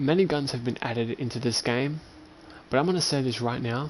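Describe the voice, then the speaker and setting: Medium pitch from a man, in an Australian accent. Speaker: video game streamer. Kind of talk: gameplay livestream commentary. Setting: home. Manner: loud; animated.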